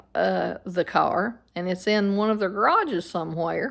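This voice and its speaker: A woman with a Southern Appalachian accent speaks at a very slow pace. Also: very clean recording, silent background. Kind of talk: casual storytelling to camera.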